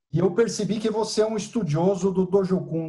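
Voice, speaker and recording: A man talks at a moderate pace with a dark, mellow tone. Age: 60s. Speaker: engineer and karate student. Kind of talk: Q&A in online class. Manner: halting.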